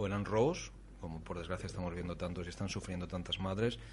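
A man speaks in a somewhat breathy voice. His intonation is monotone and flat. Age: 40s. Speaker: radio host. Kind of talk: radio talk show. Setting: studio.

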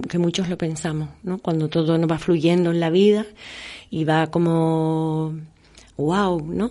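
A woman speaks very slowly, with a fairly low pitch and a dark, mellow tone. Her intonation is monotone and flat, over a quiet background. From Canary Islands. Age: 50s. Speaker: actress. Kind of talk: interview.

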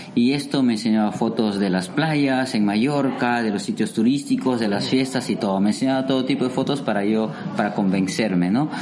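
A man with a medium-pitched voice talks at a fairly quick clip with hardly any pauses, his loudness very even and his pitch varying in an ordinary way, over audible room echo and noticeable background noise. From Peru, Amazon region (Iquitos). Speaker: waiter. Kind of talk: interview.

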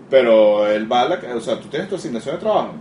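Amid noticeable background noise, a man with a Venezuelan accent and a medium pitch talks at a very fast pace with lively intonation. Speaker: game studio founder. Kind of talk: interview.

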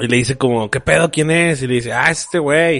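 A man talking at a very fast pace in a fairly high pitch. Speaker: podcast co-host. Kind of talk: casual chat. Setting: studio.

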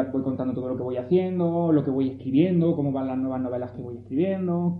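At a fairly quick pace, a man with a medium pitch and ordinary pitch variation speaks over noticeable background noise, with audible room echo. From Andalusia, Pinos Puente (Granada). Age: 30s. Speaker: novelist. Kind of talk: talk to school students.

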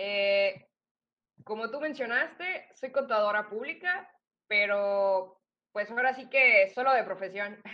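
A woman's fairly high voice with lively intonation at a very slow pace. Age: 20s. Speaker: accountant and aspiring speaker. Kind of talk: interview.

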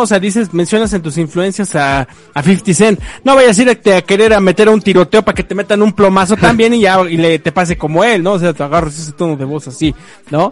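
A man with a high voice speaks at a fairly quick pace, using ordinary pitch variation. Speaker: podcast co-host. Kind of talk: casual chat. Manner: halting, filler-heavy.

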